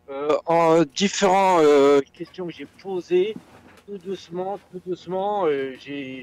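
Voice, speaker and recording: High in pitch, a man speaks very slowly with fairly even intonation. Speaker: community member. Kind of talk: casual chat.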